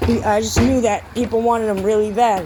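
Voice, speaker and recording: Noticeable background noise sits behind this recording. A woman speaks with an American accent at a medium pitch. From eastern Massachusetts (South Shore, Hanover). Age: 30s. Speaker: vlogger, former addict. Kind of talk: personal testimony to camera. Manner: casual, halting with fillers.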